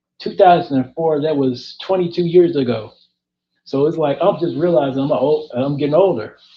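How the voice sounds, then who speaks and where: A man uses an unremarkable speaking voice at a fairly high pitch, moderate pace and ordinary pitch variation. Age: 30s. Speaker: interviewer. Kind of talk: casual chat.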